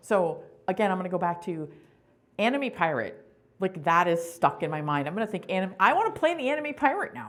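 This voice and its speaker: Loud and at a moderate pace, a woman speaks at a medium pitch with very wide pitch swings. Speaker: conference presenter. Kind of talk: workshop talk. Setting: conference session room with audience.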